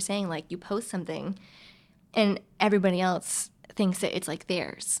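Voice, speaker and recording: In a very clean recording with a silent background, a woman with an American accent and a medium pitch talks at a fairly quick pace in an unremarkable speaking voice. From US South, eastern North Carolina. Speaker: actor and writer. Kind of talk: casual interview chat. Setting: studio.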